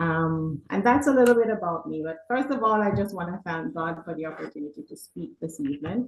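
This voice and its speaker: Somewhat breathy and fairly low in pitch, a woman talks at a fairly quick pace with hardly any pauses, very wide pitch swings and big swings in loudness. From Jamaica. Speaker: realtor. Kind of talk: presentation to church audience.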